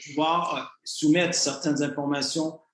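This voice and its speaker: Audible room echo surrounds a man's fairly high voice. He speaks at a very slow pace. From Canada. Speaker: communications director of an investment scheme. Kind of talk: online presentation to members. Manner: hesitant, many fillers; formal.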